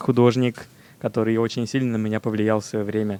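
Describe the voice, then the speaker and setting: A man speaks with a Russian accent. The sound is dry and close, with no echo. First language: Russian (speaking Japanese). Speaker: illustrator. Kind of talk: casual chat. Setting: remote audio guest. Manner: halting.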